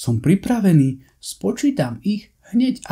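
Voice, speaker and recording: A man puts on a character voice at a high pitch, with very wide pitch swings. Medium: read story.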